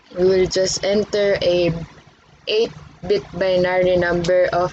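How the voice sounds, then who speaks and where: A woman speaks very slowly at a medium pitch, her intonation monotone and flat. Noticeable background noise runs under her voice. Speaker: student presenter. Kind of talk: tutorial.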